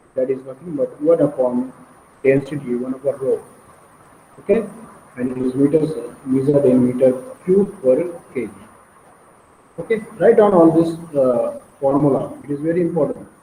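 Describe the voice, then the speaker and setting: A man speaks at a moderate pace with a fairly high pitch and ordinary pitch variation. Long, frequent pauses break up his speech, and noticeable background noise is present. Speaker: engineering lecturer. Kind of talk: lecture. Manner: repetitive, hesitant.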